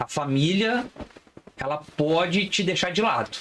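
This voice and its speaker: A man speaks with lively intonation. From Brazil, Resende (Rio de Janeiro state). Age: 30s. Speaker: criminal lawyer. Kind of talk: podcast interview.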